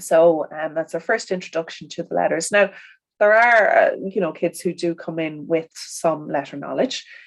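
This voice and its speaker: A woman's fairly low voice in a strong Irish accent, at a moderate pace with ordinary pitch variation. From Ireland. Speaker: primary school teacher. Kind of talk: interview conversation. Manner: hesitant, many fillers.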